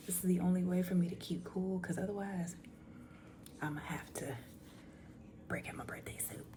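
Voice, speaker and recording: A woman whispers at a moderate pace with big swings in loudness and long, frequent pauses, over noticeable background noise and audible room echo. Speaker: storytime YouTuber. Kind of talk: casual chat. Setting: at home at night. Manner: whispering.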